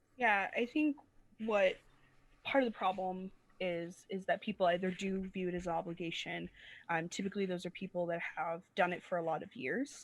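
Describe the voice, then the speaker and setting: This woman's voice sits at medium pitch. Her pitch varies in an ordinary way. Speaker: preacher. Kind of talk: casual chat. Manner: fast.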